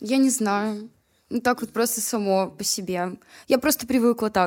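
A woman's fairly high voice, with ordinary pitch variation, unfolds at a very slow pace. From Chelyabinsk, Urals, Russia. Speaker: rapper. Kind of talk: casual chat.

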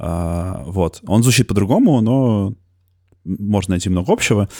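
In a plain, everyday voice, a man speaks with lively intonation at fairly low pitch, in a dry, close sound with no echo on a very clean recording with a silent background. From Moscow. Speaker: podcaster. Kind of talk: casual conversation.

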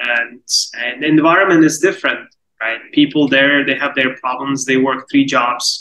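A man with an Uzbek accent, fairly high in pitch, with a bright, sharp tone, fairly even intonation, and a moderate pace. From Uzbekistan. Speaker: product manager. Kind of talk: interview.

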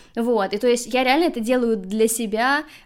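A woman speaks in an ordinary speaking voice at a fairly high pitch. Her intonation stays fairly even. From Russia, Saint Petersburg. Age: 30s. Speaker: podcast host and social media worker. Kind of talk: casual interview.

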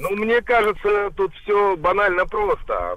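Talking very slowly over noticeable background noise, a man uses ordinary pitch variation. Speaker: caller. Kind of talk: casual chat. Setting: phone call.

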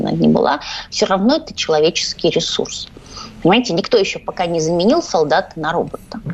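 Against noticeable background noise, a woman with a medium-pitched voice talks at a fairly quick pace with very wide pitch swings. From Ukraine, Odesa. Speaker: journalist. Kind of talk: radio interview. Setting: studio.

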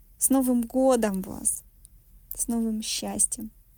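A woman's somewhat breathy, fairly high voice with a dark, mellow tone, flat monotone delivery at a very slow pace, and a dry, close sound without echo. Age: 40s. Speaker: psychologist. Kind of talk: recorded monologue.

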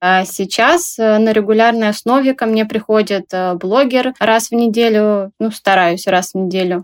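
An ordinary speaking voice moves at a fairly slow pace, its loudness very even and its pitch varying in an ordinary way. The sound is dry and close, with no echo. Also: woman, fairly high pitch for a woman. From Russia, Tomsk. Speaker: small clothing brand owner. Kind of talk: interview.

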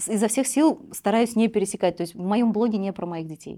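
This woman talks at a very fast pace. Her words come rapidly. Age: 30s. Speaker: blogger and mother of two. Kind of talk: casual interview chat.

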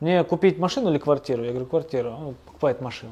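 With a dark, mellow tone, a man speaks at a very fast pace using lively intonation. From Pyatigorsk, North Caucasus, Russia. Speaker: small business co-founder. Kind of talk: interview. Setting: construction site.

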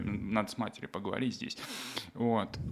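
This is a man speaking. His pace is moderate. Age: 20s. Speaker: DJ and art manager. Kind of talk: casual interview. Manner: halting.

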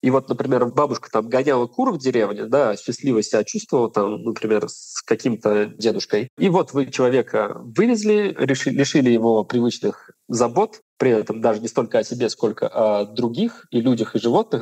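In a plain, everyday voice, a man talks at a moderate pace and medium pitch with ordinary pitch variation and hardly any pauses, the sound dry and close with no echo. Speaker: geriatrician doctor. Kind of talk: expert interview.

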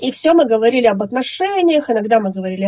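Speaking at a very fast pace, a woman with a fairly high pitch makes very wide pitch swings. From Russia, Yekaterinburg / Sverdlovsk region. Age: 30s. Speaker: lung transplant recipient. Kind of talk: interview testimony.

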